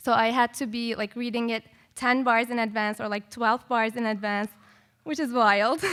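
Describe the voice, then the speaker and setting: A woman at a fairly high pitch and moderate pace, on a very clean recording with a silent background. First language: not English. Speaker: composer and music educator. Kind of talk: panel discussion. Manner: casual, many filler words.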